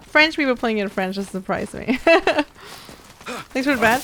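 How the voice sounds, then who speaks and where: Lively intonation from a woman at a moderate pace, amid noticeable background noise. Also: long, frequent pauses. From Sweden. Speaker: gaming streamer. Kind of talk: casual chat. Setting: live stream.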